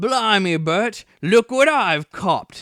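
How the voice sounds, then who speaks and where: A man's put-on character voice, gruff and high-pitched, at a very slow pace. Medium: read story. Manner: coarse, gruff.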